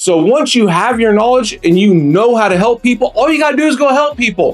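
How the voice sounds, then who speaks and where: With music in the background, a man speaks at a fairly quick pace using lively intonation. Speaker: roofing sales coach. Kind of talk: motivational talk. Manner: fast.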